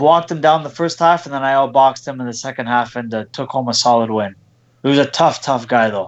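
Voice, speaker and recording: This man has a plain, everyday voice at a medium pitch with ordinary pitch variation. He talks at a fairly quick pace. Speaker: boxer. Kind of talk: casual interview.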